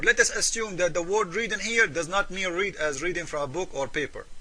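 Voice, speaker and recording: Very fast, raised and projected man's voice with ordinary pitch variation amid noticeable background noise. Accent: Arabic. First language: Arabic. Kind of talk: polemical commentary video.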